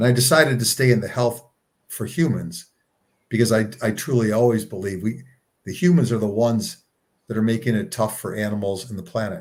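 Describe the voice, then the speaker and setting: A man speaks at a medium pitch, somewhat breathy. His pitch varies in an ordinary way. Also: fairly quick pace. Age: 60s. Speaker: nonprofit co-founder. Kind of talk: casual interview. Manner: halting, repeats words.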